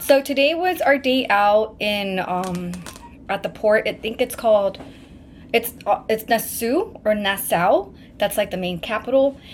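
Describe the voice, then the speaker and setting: A woman speaks at a moderate pace, fairly high in pitch with ordinary pitch variation. Noticeable background noise runs behind her. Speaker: travel vlogger. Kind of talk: casual vlog talk to camera. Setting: on a cruise trip. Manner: casual, filler-heavy.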